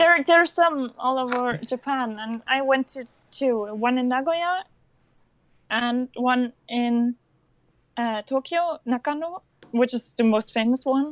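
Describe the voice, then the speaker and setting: Speaking fairly slowly with a non-native accent, a woman uses a high pitch and ordinary pitch variation in a dry, close recording with no echo. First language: not English. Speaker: cosplayer and anime fan. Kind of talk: interview. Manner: halting.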